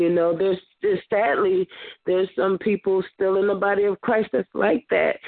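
A woman uses an ordinary speaking voice, medium in pitch, at a moderate pace. Her loudness is very even and her intonation fairly even. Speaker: church member. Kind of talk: testimony; prayer. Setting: phone conference call.

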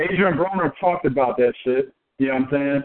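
Ordinary pitch variation marks this man's a plain, everyday voice. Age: 30s. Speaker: boxing podcast co-host. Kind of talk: casual chat.

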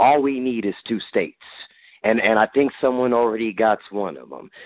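This man has a plain, everyday voice at a medium pitch. He speaks at a moderate pace with fairly even intonation. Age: 40s. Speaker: military veteran. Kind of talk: group conference call. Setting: phone call.

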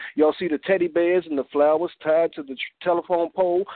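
Fairly high-pitched and animated, with an energetic tone, a man rattles along at a very fast pace. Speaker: spoken word poet. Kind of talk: spoken word poetry and interview. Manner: animated, energetic.

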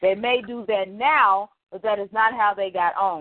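A woman speaks with an American accent and a normal speaking voice. Her pitch varies in an ordinary way. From Texas, Dallas. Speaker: podcast co-host. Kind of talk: casual chat. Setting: phone call.

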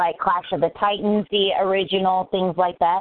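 An unremarkable speaking voice comes through at a moderate pace. The intonation stays fairly even. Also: woman. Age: 30s. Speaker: podcast host. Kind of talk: casual chat. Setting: live recording.

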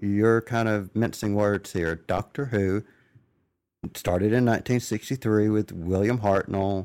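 A man's fairly low voice with a slight Southern accent, very slow, with fairly even intonation, very even loudness, and a very clean recording with a silent background. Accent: slight southern drawl. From US South. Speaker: podcast host. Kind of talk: casual interview.

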